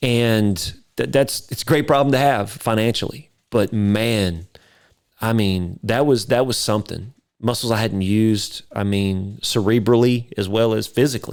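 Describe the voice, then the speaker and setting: A man's medium-pitched voice with an East Texas accent, at a moderate pace with ordinary pitch variation. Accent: East Texas Southern. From East Texas (near Carthage). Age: 50s. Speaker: videographer and entrepreneur. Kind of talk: podcast interview, personal storytelling. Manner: animated.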